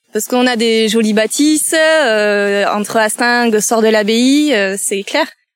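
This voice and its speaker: A woman speaks at a very slow pace in a fairly high pitch, her pitch varying in an ordinary way. The recording is very clean, with a silent background. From Landes, southwestern France. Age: 30s. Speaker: nature guide. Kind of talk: interview.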